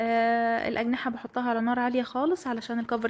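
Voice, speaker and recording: High pitch from a woman speaking. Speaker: home vlogger. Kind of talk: vlog voiceover narration. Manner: casual, hesitant fillers.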